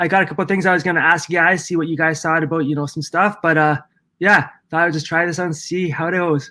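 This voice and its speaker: A man with a high pitch and a bright, sharp tone speaks at a very fast pace in a monotone, flat intonation on a very clean recording with a silent background. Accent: Canadian. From Ontario, Canada. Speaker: window cleaning and property maintenance business owner. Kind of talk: casual live stream chat. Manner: halting, many fillers and repeats.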